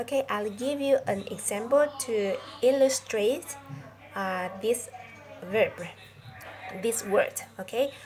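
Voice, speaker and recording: With music in the background, a woman speaks at a very slow pace in a high voice with ordinary pitch variation. She leaves long, frequent pauses. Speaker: English teacher. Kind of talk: lesson. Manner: halting, many fillers; slow, deliberate.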